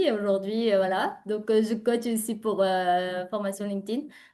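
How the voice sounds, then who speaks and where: A woman with a slight non-native accent speaks at a fairly slow pace in a fairly high pitch. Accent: slight foreign accent in French. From Uzbekistan. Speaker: entrepreneur and LinkedIn coach. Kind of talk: interview. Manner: animated.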